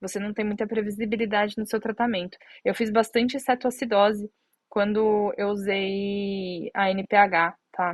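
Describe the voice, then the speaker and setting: Her medium-pitched voice stays monotone, with flat intonation, as the woman speaks. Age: 30s. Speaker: diabetes content creator. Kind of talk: live stream Q&A. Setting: Instagram live stream. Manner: halting, many fillers. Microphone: connection problems, stream lagging.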